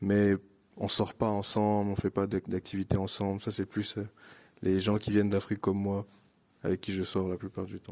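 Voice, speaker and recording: A man's fairly low, dark, mellow voice, monotone and flat, at a moderate pace with long, frequent pauses, on a very clean recording with a silent background. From Ivory Coast. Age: 20s. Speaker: international student. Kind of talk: interview testimony. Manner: hesitant, many fillers and repetitions.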